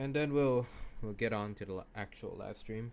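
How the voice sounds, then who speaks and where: This man speaks at a medium pitch. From Thailand. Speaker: VTuber gaming streamer. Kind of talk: casual live stream chat. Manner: halting.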